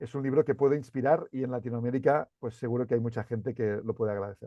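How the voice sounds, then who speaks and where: In a Catalan accent, the speaker talks at a very fast pace with fairly even intonation. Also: man, medium pitch for a man. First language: Catalan (speaking Spanish). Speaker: CEO and author. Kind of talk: interview. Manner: halting, many repeated words.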